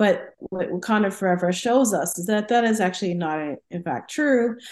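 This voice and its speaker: A woman is speaking. Her pace is fairly quick. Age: 40s. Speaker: professor. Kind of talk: casual chat.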